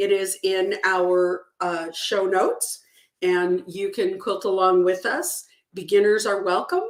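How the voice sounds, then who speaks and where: Her intonation fairly even, a woman speaks at a medium pitch and a very slow pace. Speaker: true crime show host and author. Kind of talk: live stream sign-off. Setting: live stream with chat. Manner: casual, filler-heavy.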